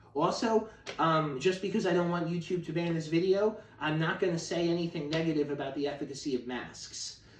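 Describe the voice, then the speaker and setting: The speaker has an American accent and talks at a moderate pace with ordinary pitch variation. Noticeable background noise is present. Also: man. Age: 30s. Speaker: activist on hunger strike. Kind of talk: video monologue. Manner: casual, with fillers.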